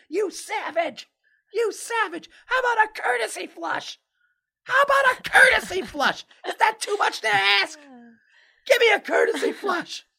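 Shouting in a put-on character voice that is squeaky and extremely high-pitched, the speaker takes a furious tone at a moderate pace with long, frequent pauses. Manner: screaming, furious.

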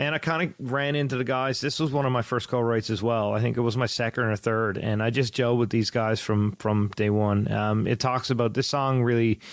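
A man with a Newfoundland accent speaks at a fairly quick pace with hardly any pauses, his medium-pitched voice holding very even loudness and fairly even intonation. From Newfoundland, Canada. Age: 30s. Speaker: country singer-songwriter. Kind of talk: casual interview.

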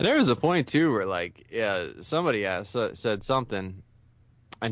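Lively intonation marks a man's medium-pitched, normal speaking voice at a fairly quick pace. The background is quiet. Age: 30s. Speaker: wrestling podcast host. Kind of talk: casual chat.

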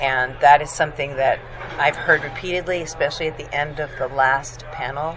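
A woman speaks with a very deep, low pitch. Noticeable background noise runs beneath her. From raised abroad, moved to US as older teenager. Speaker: magazine publisher. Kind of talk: interview. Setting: conference venue.

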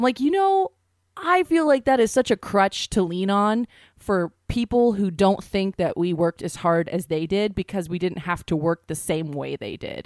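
A woman speaks in a plain, everyday voice with medium pitch and lively intonation at a moderate pace. The recording is very clean and dry, with a close sound, no echo and a silent background. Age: 20s. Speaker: podcast co-host. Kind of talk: casual comedic chat.

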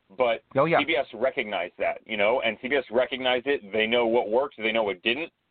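A man with an ordinary speaking voice at medium pitch. His pitch varies in an ordinary way. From United States. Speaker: soccer analyst. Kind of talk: casual chat.

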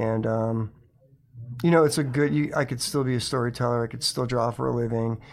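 With an American accent, a man in an unremarkable speaking voice talks at a fairly quick pace, his medium pitch showing ordinary variation. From Connecticut. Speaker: comics publisher and animator. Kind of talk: interview.

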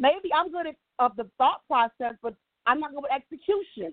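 A woman's loud, high voice, animated in tone and lively in intonation. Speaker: financial services executive and nonprofit founder. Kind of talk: motivational talk.

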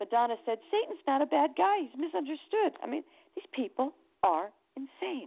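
A woman with an American accent and a high pitch speaks at a moderate pace with very wide pitch swings. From Connecticut, US. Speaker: singer, attorney and psychic reader. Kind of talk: interview.

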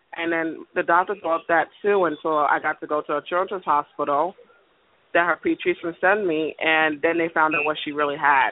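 With a slight Caribbean accent, a woman speaks at a moderate pace in a fairly low pitch, her intonation monotone and flat. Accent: slight Caribbean-tinged English. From US, Caribbean family (Panama, Barbados). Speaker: caller. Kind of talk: phone-in advice consultation. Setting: phone call.

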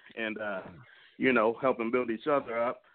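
In a normal speaking voice, a man talks at a medium pitch and moderate pace with fairly even intonation. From Texas, San Antonio. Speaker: caller. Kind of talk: phone-in call. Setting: phone call.

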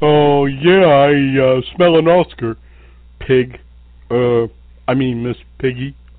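A put-on character voice at a low-to-middle pitch, fairly slow, with long, frequent pauses. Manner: modest, hesitant, nervous.

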